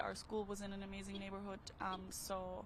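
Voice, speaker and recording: Amid noticeable background noise and audible room echo, a woman with an Austrian accent speaks at a medium pitch. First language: German. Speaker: passerby interviewed on the street. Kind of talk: casual street interview. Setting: outdoors at a park.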